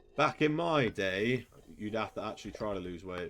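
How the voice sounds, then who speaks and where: The speaker has an English accent and ordinary pitch variation. The recording is very clean, with a silent background. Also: man. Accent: English accent, self-described as annoying. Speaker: gaming streamer. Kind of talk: live gaming commentary. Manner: animated.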